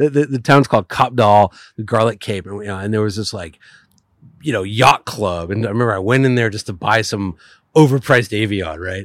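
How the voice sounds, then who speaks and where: In a very clean recording with a silent background, a man speaks at a fairly quick pace, his pitch fairly low with ordinary variation. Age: 40s. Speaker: podcast guest and car writer. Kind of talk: casual interview chat. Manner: talkative, tends to overtalk.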